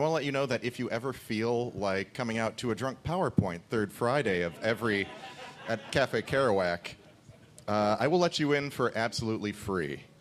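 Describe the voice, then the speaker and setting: This is a normal speaking voice from a man with a medium pitch. He speaks at a moderate pace with lively intonation. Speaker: comedian contestant. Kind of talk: live quiz show comedy. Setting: stage with audience.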